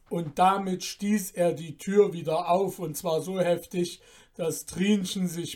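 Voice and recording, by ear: The intonation here is fairly even. It comes from reading aloud in a natural voice.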